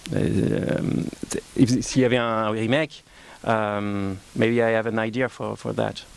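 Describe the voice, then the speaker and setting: Over noticeable background noise, a man with a French accent speaks very slowly at a fairly low pitch with fairly even intonation. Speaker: film director. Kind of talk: press conference. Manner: halting, many fillers.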